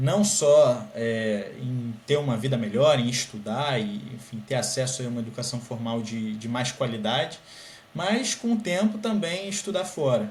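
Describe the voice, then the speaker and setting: Lively intonation from a man, with noticeable background noise behind him. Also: medium pitch for a man, fairly slow pace. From Brazil, Rio de Janeiro. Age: 20s. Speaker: scholarship student, master's student. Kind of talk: podcast interview.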